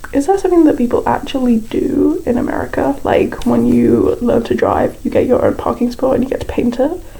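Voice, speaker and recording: A woman with a British accent talks at a moderate pace amid noticeable background noise. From Britain. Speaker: YouTuber building in a game. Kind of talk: casual voiceover commentary. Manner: casual, lots of filler words.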